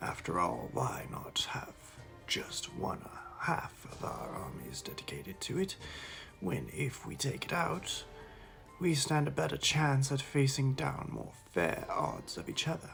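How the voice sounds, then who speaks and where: Over music in the background, a raspy, whispering put-on character voice moves at a fairly slow pace. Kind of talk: mock-epic war chronicle. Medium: solo performance. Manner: dramatic, rambling, halting phrasing.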